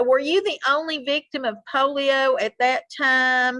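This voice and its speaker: Bright and sharp in tone, a woman speaks at a high pitch and a very slow pace. The sound is dry and close, with no echo. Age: 60s. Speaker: interviewer. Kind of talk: interview.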